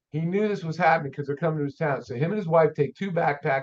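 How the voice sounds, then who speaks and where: His voice is fairly high-pitched. The man's pitch shows ordinary variation. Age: 60s. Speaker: auto shop owner and mechanic. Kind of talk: podcast interview storytelling. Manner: animated.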